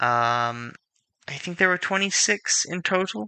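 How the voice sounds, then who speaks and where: The man's tone is bright and sharp, with ordinary pitch variation. The background is quiet, and the sound is dry and close with no echo. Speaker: game streamer. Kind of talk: live stream commentary. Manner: casual, rambling with fillers.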